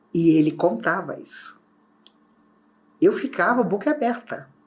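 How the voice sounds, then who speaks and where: Pitch swings very widely as a woman speaks. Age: 60s. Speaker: spiritist speaker. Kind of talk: spiritual talk.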